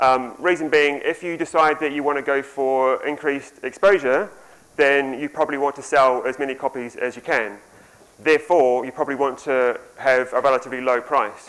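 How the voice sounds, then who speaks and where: This man speaks with a New Zealand accent at a moderate pace, his fairly high pitch held in fairly even intonation. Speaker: conference speaker, software developer and author. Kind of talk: conference talk.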